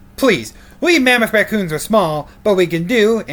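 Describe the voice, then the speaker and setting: The voice here is a put-on character. It sits at a fairly high pitch. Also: moderate pace. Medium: read story. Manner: cartoonish, comic.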